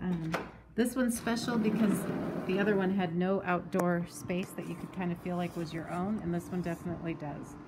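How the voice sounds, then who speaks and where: There is noticeable background noise as a woman talks. She keeps a moderate pace with ordinary pitch variation. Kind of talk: casual house tour narration. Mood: excited, upbeat. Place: home room. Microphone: phone near.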